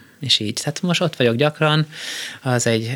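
The speaker is a man. His pitch moves with ordinary variation. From Austria (Vienna) and US. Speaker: conductor and composer. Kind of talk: casual interview. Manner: halting.

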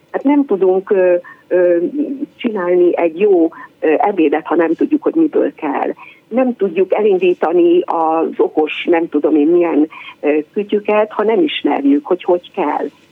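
Against noticeable background noise, a woman at medium pitch speaks at a fairly slow pace with lively intonation and very even loudness. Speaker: PE teacher. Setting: phone call.

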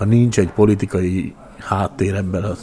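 With music playing in the background, the speaker's intonation stays fairly even. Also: man. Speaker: educator and former mayor. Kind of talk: interview.

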